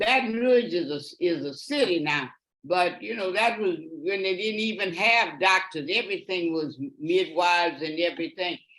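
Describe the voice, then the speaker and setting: A woman speaks in a Louisiana accent at a moderate pace. Her fairly low voice has lively intonation. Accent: Louisiana Southern US. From US South, Louisiana. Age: 80s+. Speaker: great-grandmother sharing memories. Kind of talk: interview. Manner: halting.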